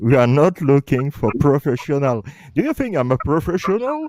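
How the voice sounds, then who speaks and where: Lively intonation from a fairly high-pitched man with a Belgian accent, dark and mellow in tone, in a dry, close sound with no echo. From Belgium. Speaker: justice campaigner. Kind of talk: casual chat.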